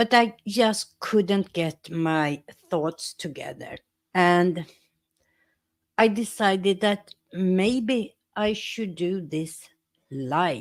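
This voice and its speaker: Speaking at a very slow pace with long, frequent pauses, a woman with a Swedish accent uses a medium pitch and ordinary pitch variation. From Sweden. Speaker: YouTuber and teacher. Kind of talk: casual live stream talk.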